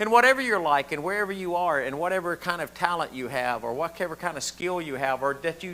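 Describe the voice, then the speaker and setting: With a Southern US accent, a bright, sharp voice moves at a fairly quick pace. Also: man. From US South. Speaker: pastor. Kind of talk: sermon. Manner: animated.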